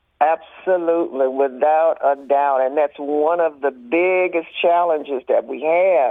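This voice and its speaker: A Southern US accent at a fairly slow pace, with fairly even intonation and hardly any pauses. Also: woman, very deep, low pitch for a woman. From US South, rural Mississippi. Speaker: arts nonprofit board president. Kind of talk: radio interview. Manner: halting, many fillers.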